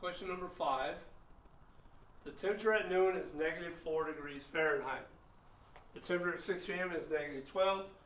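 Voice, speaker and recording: A man talks at a fairly quick pace in a high voice with fairly even intonation. Noticeable background noise and audible room echo surround him. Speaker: math teacher. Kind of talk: lecture.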